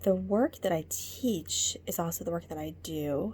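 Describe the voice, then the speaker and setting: A woman speaks quietly at a fairly slow pace. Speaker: coach teaching stress relief techniques. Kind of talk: casual video diary. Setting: outdoors at night. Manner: hesitant with many fillers.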